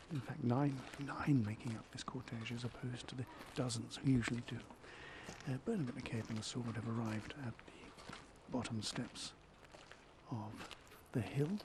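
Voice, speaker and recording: A quiet man's voice at medium pitch and moderate pace, fairly even in intonation, with long, frequent pauses and noticeable background noise. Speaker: live ceremony commentator. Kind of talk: live commentary. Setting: outdoors in a small gazebo. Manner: speaking quietly.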